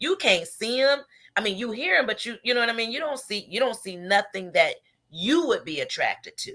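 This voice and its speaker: A loud, high woman's voice, bright and sharp in tone, with very wide pitch swings and a fairly quick pace. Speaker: radio show host. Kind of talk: casual chat.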